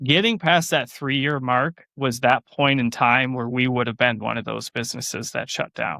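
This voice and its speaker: Loud and bright with a sharp tone, a man speaks at medium pitch and moderate pace with ordinary pitch variation, in a dry, close sound with no echo. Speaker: farmer and small business owner. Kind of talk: interview conversation. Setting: podcast interview. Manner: animated.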